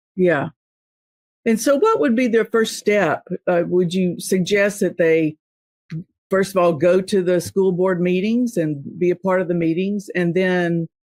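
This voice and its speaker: A woman speaks at a fairly slow pace with a medium pitch. Her loudness stays very even, with ordinary pitch variation. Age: 60s. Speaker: podcast host. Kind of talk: interview. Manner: halting, many fillers.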